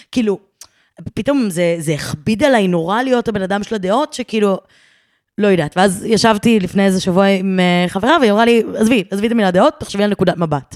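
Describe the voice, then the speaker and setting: Speaking at a very fast pace, a woman uses a medium pitch with ordinary variation. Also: dry, close sound with no echo. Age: 20s. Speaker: content creator and podcaster. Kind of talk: casual interview.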